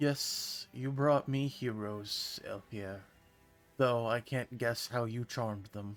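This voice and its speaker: This man uses a put-on character voice at medium pitch. His pace is fairly slow. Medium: game stream. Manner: formal, haughty.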